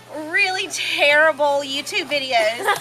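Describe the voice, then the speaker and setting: A woman projects a raised voice at a high pitch and a very slow pace. Noticeable background noise runs behind her. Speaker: friend of the deceased giving a eulogy. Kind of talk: memorial eulogy. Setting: memorial service. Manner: loud.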